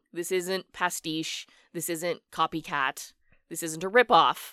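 A woman talks fairly low and fairly slowly in a normal speaking voice. The sound is dry and close with no echo, on a very clean recording with a silent background. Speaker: podcast host. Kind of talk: casual chat.

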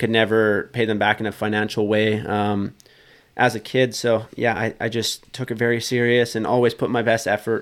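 In a western Canadian accent, a man talks at a medium pitch and moderate pace with monotone, flat intonation, in a very clean recording with a silent background. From British Columbia, western Canada. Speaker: professional motocross racer. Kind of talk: casual chat. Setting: studio.

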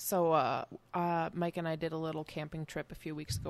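This woman has a Midwestern accent. She speaks at a moderate pace. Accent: Midwest. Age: 30s. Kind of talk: casual chat while drinking beer.

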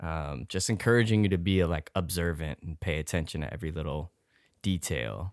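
A man's very deep, low voice with vocal fry, at a fairly quick pace, on a very clean recording with a silent background. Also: ordinary pitch variation. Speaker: returning podcast guest. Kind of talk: casual chat.

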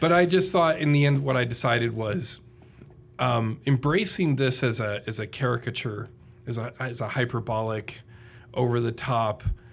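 A man with an Indiana accent at a fairly slow pace. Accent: Hoosier Indiana. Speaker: public speaker and podcaster. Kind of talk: casual interview chat.

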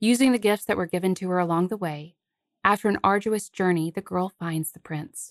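A woman with a plain, everyday voice speaks at a fairly quick pace, at a medium pitch with ordinary pitch variation and big swings in loudness. The sound is dry and close with no echo, over a quiet background. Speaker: podcast host. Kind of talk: scripted narration of a fairy tale, with literary commentary.

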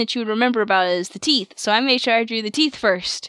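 Using a normal speaking voice, a woman talks in a fairly high pitch with ordinary pitch variation. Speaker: podcast host. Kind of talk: casual chat.

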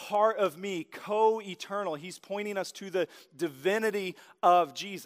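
A man with an American accent is heard on a very clean recording against a silent background. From Oklahoma. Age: 30s. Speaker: pastor. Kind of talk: sermon. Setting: church stage with audience.

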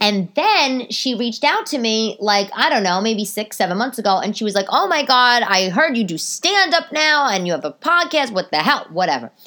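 A woman with a New York accent has a fairly high pitch and an animated tone. Her pitch swings very widely. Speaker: comedian. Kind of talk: casual chat. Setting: home. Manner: fast talker.

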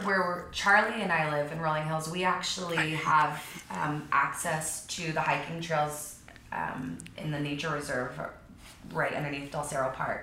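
Amid noticeable background noise and audible room echo, a woman with an American accent speaks fairly slowly in a very deep, low pitch with fairly even intonation. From Texas, outside Austin, then southern California from 12. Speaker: real estate agent. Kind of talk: casual interview.

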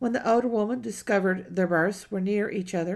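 There's vocal fry in this woman's voice. She talks at a moderate pace over a quiet background. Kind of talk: audiobook narration of a period novel, reading aloud with character dialogue. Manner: measured, storytelling pace, steady literary narration.

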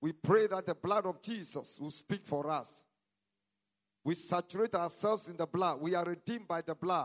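With a Ghanaian accent, a man speaks at a moderate pace and a high pitch with ordinary pitch variation, the sound dry and close with no echo over a quiet background. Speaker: pastor. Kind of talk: prayer; sermon. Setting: church. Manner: animated.

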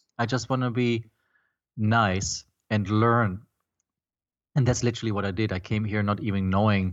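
A man with a German accent and a fairly low pitch speaks at a moderate pace, leaving long, frequent pauses. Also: fairly even intonation. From Germany. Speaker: film composer and startup founder. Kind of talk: interview.

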